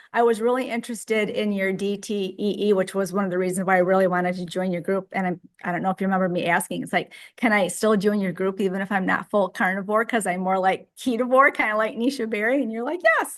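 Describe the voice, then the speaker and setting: The speech runs at a very fast pace with hardly any pauses, over a quiet background. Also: woman, medium pitch for a woman, ordinary pitch variation. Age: 60s. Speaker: group member sharing diet story. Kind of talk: casual group chat.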